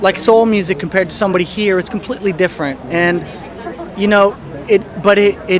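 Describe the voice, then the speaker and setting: Amid audible room echo and crowd noise in the background, a man with a high pitch talks with ordinary pitch variation. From France (Paris). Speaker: music producer. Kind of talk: interview. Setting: music festival. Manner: halting, many fillers and repeats.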